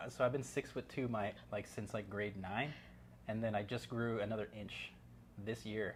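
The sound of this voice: A man speaks with fairly even intonation. His pitch sits fairly low. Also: moderate pace.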